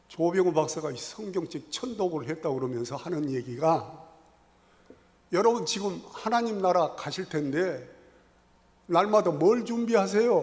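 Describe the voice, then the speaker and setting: In a room with audible echo, a man with a high pitch and lively intonation speaks at a fairly slow pace, leaving long, frequent pauses. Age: 70s. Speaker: church elder giving Bible lecture. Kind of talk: Bible lecture. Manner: conversational, colloquial.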